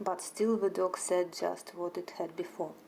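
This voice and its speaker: A woman with a Russian accent at a fairly slow pace. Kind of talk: sleep story. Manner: soft-spoken.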